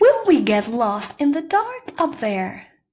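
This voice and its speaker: A woman puts on a character voice, high in pitch and at a fairly slow pace. Her pitch swings very widely. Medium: read story. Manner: soft, wondering.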